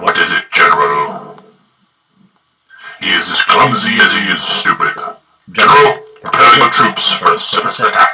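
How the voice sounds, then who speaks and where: A man talks in a put-on character voice at a moderate pace. He leaves long, frequent pauses. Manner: slow, commanding.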